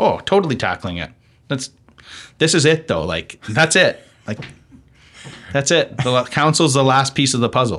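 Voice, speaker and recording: A man with a Western Canadian accent, fairly high pitch, very wide pitch swings and vocal fry, at a moderate pace with long, frequent pauses. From Okanagan, British Columbia, Canada. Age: 30s. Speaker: city council candidate and food entrepreneur. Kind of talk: interview.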